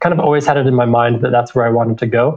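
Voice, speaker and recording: With an American accent, a man talks in an ordinary speaking voice at a medium pitch and with fairly even intonation. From Utah. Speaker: MBA student. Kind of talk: interview.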